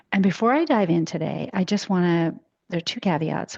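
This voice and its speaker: Using a raspy, put-on character voice, a woman of medium pitch talks at a fairly quick pace. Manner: apologetic, conversational.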